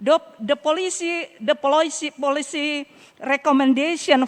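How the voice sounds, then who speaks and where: A woman speaks at a very slow pace with an Indonesian accent. Her pitch variation is ordinary. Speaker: local government official. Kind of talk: closing remarks speech. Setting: summit closing ceremony. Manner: halting; formal.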